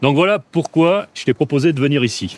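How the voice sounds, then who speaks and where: Medium in pitch, a man's voice carries lively intonation. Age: 60s. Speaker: company president. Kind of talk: casual chat.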